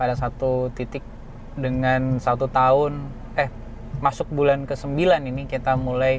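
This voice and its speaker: A man with a Makassar accent, monotone and flat in intonation, at a moderate pace. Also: medium pitch for a man. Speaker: internal medicine doctor. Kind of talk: explanatory interview. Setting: in a car with sunroof open.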